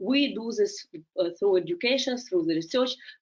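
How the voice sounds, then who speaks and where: A woman's lively intonation with a Russian accent. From Ukraine. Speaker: legal scholar and policy analyst. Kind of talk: webinar presentation. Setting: online webinar. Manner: halting, many fillers.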